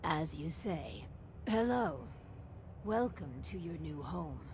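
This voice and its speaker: The speaker uses a put-on character voice at a fairly slow pace. Background noise is clearly audible. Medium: video game. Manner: formal, polite, measured.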